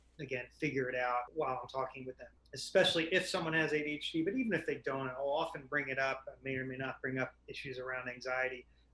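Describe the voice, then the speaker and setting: Over noticeable background noise, a medium-pitched man speaks very fast with fairly even intonation and hardly any pauses. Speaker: psychiatrist. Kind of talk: casual chat. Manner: loud and fast.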